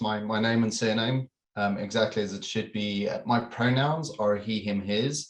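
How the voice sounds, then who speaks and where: Speaking in a South African accent, a man has a medium pitch. He talks at a fairly slow pace. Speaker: corporate security manager. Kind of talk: webinar panel discussion.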